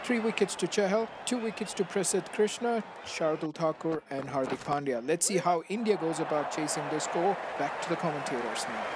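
A man with a high pitch talks at a fairly quick pace, with lively intonation. Noticeable background noise runs behind him. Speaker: gaming YouTuber. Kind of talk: scripted video narration with channel intro and outro.

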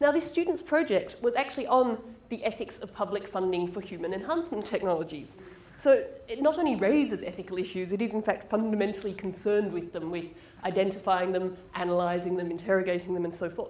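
With lively intonation, a woman talks at a very fast pace, and audible room echo surrounds her voice. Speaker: presenter. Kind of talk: lecture. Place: hall.

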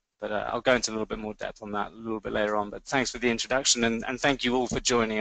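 A man's medium-pitched, monotone voice with flat intonation and a slight London accent. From London, England. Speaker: fundraising auction executive. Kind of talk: webinar presentation.

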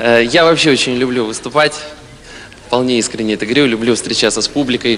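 A man's speech shows ordinary pitch variation, with light background noise behind it. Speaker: stand-up comedian. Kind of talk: comedy monologue. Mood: playful, ironic. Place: stage. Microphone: handheld.

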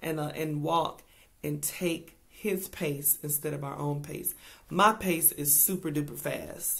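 At a fairly slow pace, a woman speaks in a very deep, low voice with vocal fry. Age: 40s. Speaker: speaker. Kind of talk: inspirational devotional talk. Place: home room. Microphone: webcam.

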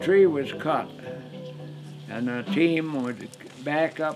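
Clear music plays in the background as a man with an American accent speaks at a very slow pace. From northern Michigan. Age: 80s+. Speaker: local history narrator. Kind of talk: documentary interview narration. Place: home room.

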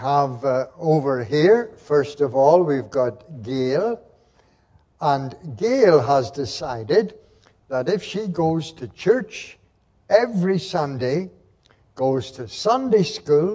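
The speech moves at a very slow pace, with big swings in loudness. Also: man. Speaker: minister giving a children's talk. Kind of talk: children's talk in a sermon. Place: church.

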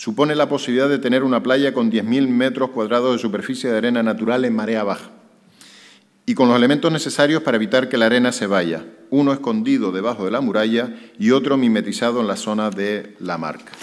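A man speaks at a very fast pace with ordinary pitch variation over a quiet background. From Canary Islands. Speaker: mayor. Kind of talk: press conference. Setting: press conference with journalists. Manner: hesitant, many fillers. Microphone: podium.

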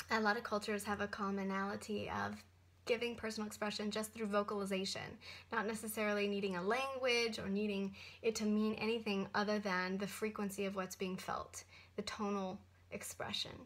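Her intonation monotone and flat, a woman speaks at a fairly quick pace. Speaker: spiritual teacher vlogger. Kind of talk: casual vlog chat. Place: office. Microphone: webcam.

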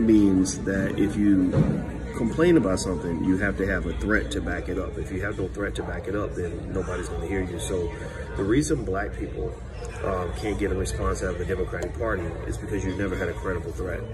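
Fairly quick speech from a man, backed by music. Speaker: social commentator. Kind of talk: casual vlog chat turning to commentary. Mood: assertive, opinionated. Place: cafe. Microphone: phone near.

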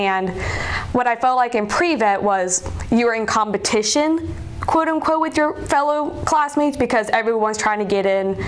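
Against light background noise, a woman with an American accent talks at a moderate pace in a fairly high pitch, her intonation lively. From South Carolina, Columbia. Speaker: veterinary student. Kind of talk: interview. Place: office. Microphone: lapel.

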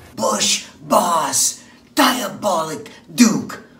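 A man speaks very slowly in a high voice, with audible echo in the room. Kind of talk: wrestling promo. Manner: boastful, challenging.

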